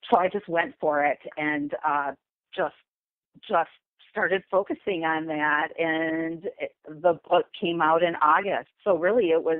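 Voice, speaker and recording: In a normal speaking voice, a woman with a fairly low pitch speaks at a fairly slow pace with fairly even intonation. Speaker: memoir author. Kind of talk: interview.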